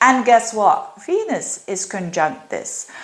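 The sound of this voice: A woman with a medium pitch and a fairly bright tone speaks slowly in big pitch swings, with audible room echo around her.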